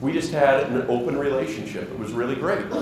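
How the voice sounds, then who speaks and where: A man's fairly high voice at a moderate pace, with audible room echo and noticeable background noise. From Wyoming. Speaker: organic farmer; conference presenter. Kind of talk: conference presentation. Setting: stage with audience. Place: hall.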